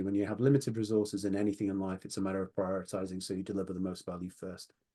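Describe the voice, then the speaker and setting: Against a quiet background, a man speaks with a British accent. His fairly low voice has a dark, mellow tone. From Britain. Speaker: online poker company president. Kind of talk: interview. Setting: video call from home office.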